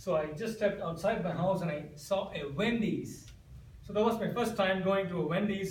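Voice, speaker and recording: A man with an Indian accent speaks fast-ish and in an animated tone, his pitch high. Noticeable background noise and audible room echo fill the recording. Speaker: amateur comedic speaker. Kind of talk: humorous contest speech.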